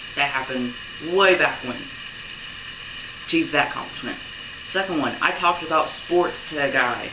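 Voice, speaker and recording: At a moderate pace, a man speaks with a fairly high pitch and long, frequent pauses. Audible room echo and noticeable background noise fill the recording. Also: ordinary pitch variation. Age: young. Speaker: vlogger. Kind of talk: video diary. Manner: casual, conversational.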